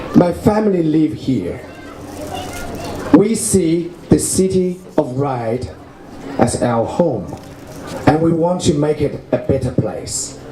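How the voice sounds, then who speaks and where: With a Chinese accent and a fairly high pitch, a man talks at a very slow pace with lively intonation and long, frequent pauses, amid noticeable background noise and audible room echo. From China. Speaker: local election candidate. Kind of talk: campaign speech.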